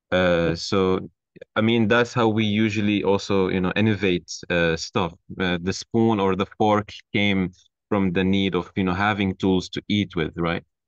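A Turkish accent at a fairly slow pace, with fairly even intonation, a dry sound with no echo and a quiet background. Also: man. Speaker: architecture graduate student. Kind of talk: casual chat. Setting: video call. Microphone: video call.

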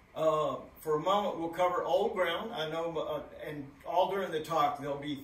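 Over light background noise and audible room echo, a man speaks at a moderate pace with fairly even intonation. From Texas. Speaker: author and postcard collector. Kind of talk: presentation. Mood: modest, friendly. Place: hall.

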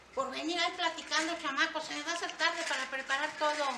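A woman's raised, projected voice at a moderate pace, fairly even intonation, noticeable background noise. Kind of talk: scripted family sketch dialogue. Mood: mildly scolding, hurried. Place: street.

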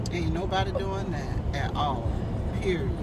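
A man's voice sounds dry with no echo. Loud noise fills the background. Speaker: the vlogger's mother. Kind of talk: casual chat. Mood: playful banter. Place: car. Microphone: phone near.

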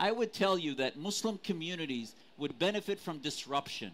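This man's voice is high-pitched for a man, with an American accent, lively intonation, and light background noise. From Syrian family, US. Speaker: advocacy group leader; panelist. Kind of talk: heated debate. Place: stage.

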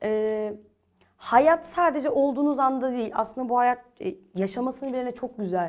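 The intonation is lively, and the pace is moderate. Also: woman, high pitch for a woman. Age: 20s. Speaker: young entrepreneur, safety equipment business owner. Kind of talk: TV interview.

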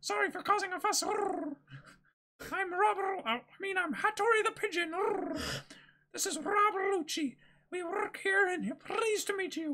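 A woman uses a put-on character voice at an extremely high pitch. She talks at a fairly slow pace. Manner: polite and apologetic.

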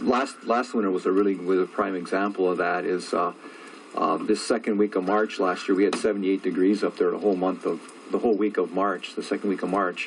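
Through noticeable background noise, a man speaks very fast with a fairly low pitch and fairly even intonation. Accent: American. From Upper Peninsula of Michigan (Wakefield). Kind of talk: interview. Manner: halting, many fillers.

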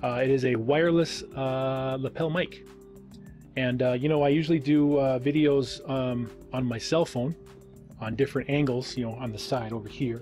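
A man's fairly even intonation over clear background music. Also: moderate pace. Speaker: channel host. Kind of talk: casual vlog chat. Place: home room. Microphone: studio mic.

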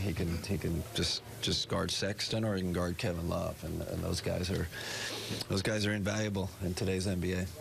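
Noticeable background noise runs beneath the speech. A man talks in a very deep, low pitch with monotone, flat intonation. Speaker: basketball head coach. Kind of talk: press conference answers. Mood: calm, pleased after win. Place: hall.

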